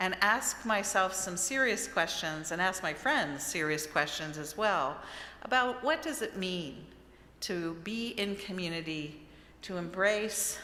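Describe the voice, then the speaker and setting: In an American accent, a woman speaks at a fairly slow pace with a fairly low pitch and lively intonation. Her tone is bright and sharp, and room echo is audible. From Maryland, US. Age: 60s. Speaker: author and lecturer. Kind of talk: lecture. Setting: church with audience.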